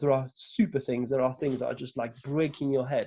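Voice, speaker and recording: A man with a fairly high pitch speaks in a French accent. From France. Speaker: delivery manager, lightning talk speaker. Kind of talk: conference talk. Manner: hesitant, many fillers.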